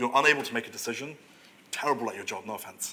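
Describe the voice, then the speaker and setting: A man is speaking here. His pace is very fast. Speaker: product analyst. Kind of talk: conference talk Q&A. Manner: halting.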